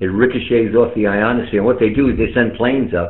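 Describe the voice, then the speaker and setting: There is audible room echo around a man with a fairly low pitch. He keeps a moderate pace and ordinary pitch variation. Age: 60s. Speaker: amateur radio operator. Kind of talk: casual chat. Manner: animated.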